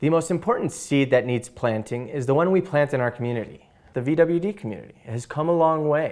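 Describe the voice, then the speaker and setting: Speaking at a fairly quick pace with ordinary pitch variation, a man talks with an American accent. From Chicago, Illinois. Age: 20s. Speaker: patient advocate. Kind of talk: presentation. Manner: halting, many fillers.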